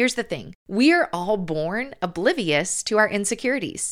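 In a very clean recording with a silent background, a woman speaks with a Southern US accent. Her medium pitch, warm tone and lively intonation stand out. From US South. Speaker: podcast host and author. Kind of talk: podcast monologue with faith-based encouragement. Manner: warm, encouraging.

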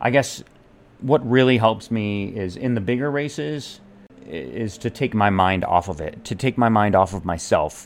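Fairly low in pitch, a man with an unremarkable speaking voice talks with lively intonation. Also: moderate pace. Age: 40s. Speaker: podcast host and amateur athlete. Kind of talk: solo monologue. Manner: casual with frequent fillers and repetitions.

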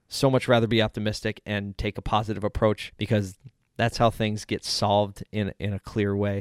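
A man with an American accent speaks at a moderate pace in a fairly low pitch with monotone, flat intonation. The recording is very clean, with a silent background and a dry, close sound with no echo. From South Philadelphia, Pennsylvania, US. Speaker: podcast host. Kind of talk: solo podcast monologue. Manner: casual, conversational.

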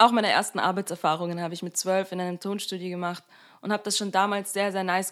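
At a very fast pace, a woman speaks on a very clean recording with a silent background. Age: 20s. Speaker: podcast host. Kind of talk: personal monologue podcast. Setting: home recording room.

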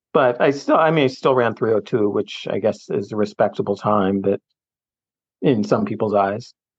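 A man with a plain, everyday voice speaks at a medium pitch with lively intonation and a moderate pace. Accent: American. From US, suburban Philadelphia. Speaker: retired recreational runner and cyclist. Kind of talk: casual chat.

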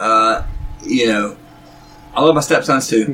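A fairly slow pace in a North Carolina accent. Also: man. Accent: Southern US (North Carolina). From North Carolina, Gaston County. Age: 40s. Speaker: musician. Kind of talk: casual chat.

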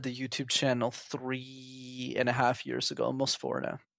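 A man with medium pitch talks at a moderate pace in a normal speaking voice. The recording is very clean with a silent background. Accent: Canadian. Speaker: interview guest. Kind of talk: casual chat.

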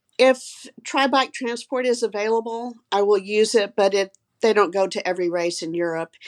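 A woman with an unremarkable speaking voice talks at a moderate pace, her pitch fairly high with ordinary variation. The background is quiet. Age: 60s. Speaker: physician and amateur triathlete. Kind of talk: casual interview.

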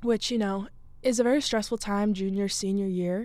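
An American-accented woman speaks at medium pitch and a moderate pace. Her tone is dark and mellow, with fairly even intonation. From Massachusetts, near Boston. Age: young. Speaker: podcast host, college student. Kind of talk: casual monologue. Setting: studio.

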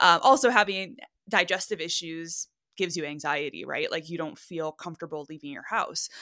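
The tone is bright and sharp, with big swings in loudness. The recording is very clean, with a silent background. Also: woman, fairly low pitch for a woman, ordinary pitch variation, fairly quick pace. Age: 30s. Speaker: podcast co-host, wellness coach. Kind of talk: interview guest telling personal story. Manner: casual, frequent laughter.

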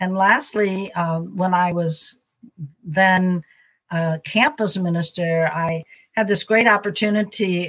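A somewhat breathy voice with an American accent and fairly even intonation. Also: woman. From US Midwest, St. Louis, Missouri. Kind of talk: interview conversation. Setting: video call.

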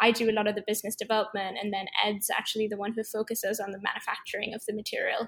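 A woman with a fairly high pitch races along at a very fast pace in a flat monotone with hardly any pauses. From Sri Lanka. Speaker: startup co-founder. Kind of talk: casual interview.

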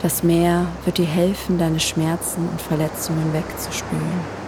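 Fairly low, flat, monotone speech from a woman in a calm tone, fairly slow, with noticeable background noise and audible room echo. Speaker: meditation guide. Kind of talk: guided meditation. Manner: calm, slow; soft-spoken.

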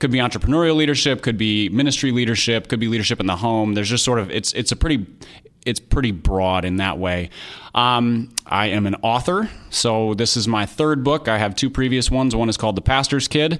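In a normal speaking voice, a man with an American accent talks at a fairly quick pace and medium pitch, with ordinary pitch variation. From US Midwest, Minneapolis, Minnesota. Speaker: author and podcast co-host. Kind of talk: interview.

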